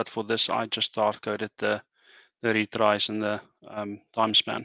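A man speaks in a bright, sharp tone. The sound is dry with no echo against a quiet background. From South Africa. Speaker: software engineer. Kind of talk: technical demo. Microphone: video call.

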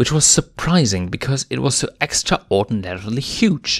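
With lively intonation, a man speaks at a medium pitch and a fairly slow pace.

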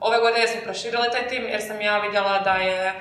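A woman talks at a fairly quick pace with a fairly high pitch and monotone, flat intonation, and audible room echo can be heard. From Croatia. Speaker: university student, marketing team lead; podcast guest. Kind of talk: casual chat. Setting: studio. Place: classroom.

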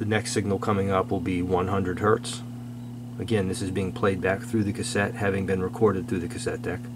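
Fairly quick speech from a man amid noticeable background noise. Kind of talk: casual technical commentary. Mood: amused disapproval. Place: workshop.

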